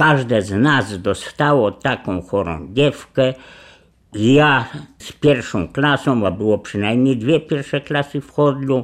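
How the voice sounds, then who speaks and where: The recording is very clean with a silent background. A man of medium pitch speaks at a very slow pace with ordinary pitch variation. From Poland, Lublin region countryside. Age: 80s. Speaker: oral history witness. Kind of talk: oral history testimony.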